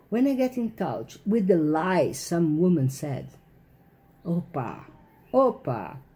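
A woman with a somewhat breathy, dark, mellow tone speaks at a very slow pace, with very wide pitch swings and long, frequent pauses. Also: fairly low pitch for a woman. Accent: non-native. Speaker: author. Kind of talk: casual talk to camera. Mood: indignant, opinionated. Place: home room. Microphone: phone near.

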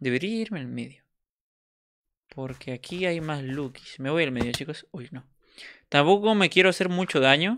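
Lively intonation at a moderate pace, with big swings in loudness and long, frequent pauses, on a very clean recording with a silent background. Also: man, fairly high pitch for a man. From Peru. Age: 20s. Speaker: gaming streamer. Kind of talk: live gameplay commentary. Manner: animated.

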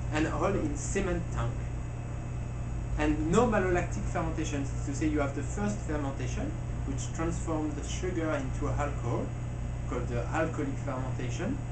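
A man keeps a moderate pace as loud background noise plays around him. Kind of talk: interview answer. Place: shop.

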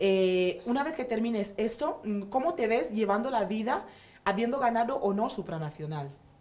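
A woman talks with audible room echo and noticeable background noise in the recording. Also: fairly high pitch for a woman, moderate pace. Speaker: talk show host. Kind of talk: casual chat.

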